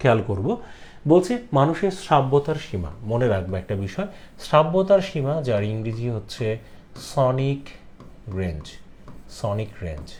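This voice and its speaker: A somewhat breathy male voice with very wide pitch swings and audible room echo. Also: medium pitch for a man. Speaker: teacher. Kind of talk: lecture.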